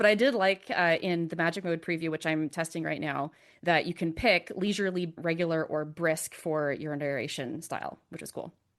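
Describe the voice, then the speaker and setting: In a quiet background, a woman with a fairly low voice talks with hardly any pauses and big swings in loudness. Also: ordinary pitch variation. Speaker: podcast host, novelist. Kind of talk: podcast interview. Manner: fast talker.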